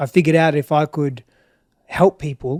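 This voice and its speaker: At a moderate pace, a man with an Australian accent talks in a monotone, flat intonation, the sound dry and close with no echo. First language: Greek. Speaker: relationship expert. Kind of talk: interview. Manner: reflective, halting.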